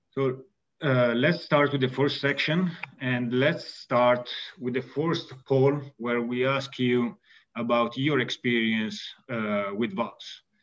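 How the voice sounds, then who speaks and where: In an Italian accent, a man speaks at a very slow pace. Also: ordinary pitch variation. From Italy. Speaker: valve company executive and mechanical engineer. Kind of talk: technical webinar presentation. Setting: video call. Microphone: webcam.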